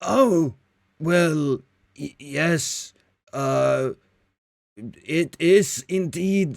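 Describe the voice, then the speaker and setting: A man puts on a character voice at a fairly high pitch. He goes very slowly, with long, frequent pauses. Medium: actual play. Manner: scripted, stiff customer-service politeness.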